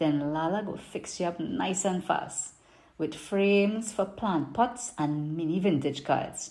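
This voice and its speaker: A woman speaks at a fairly low pitch with a Trinidadian accent. Her intonation is lively. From Trinidad and Tobago. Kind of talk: poetry reading.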